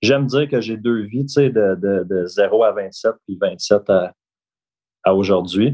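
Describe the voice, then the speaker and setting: This man speaks with a fairly low-pitched voice. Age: 30s. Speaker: real estate broker. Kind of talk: interview.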